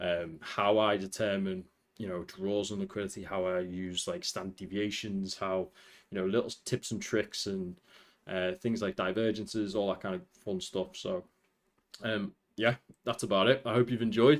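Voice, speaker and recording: On a very clean recording with a silent background, a man speaks in a fairly low voice. His intonation is fairly even. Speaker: trading educator. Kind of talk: tutorial. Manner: fast.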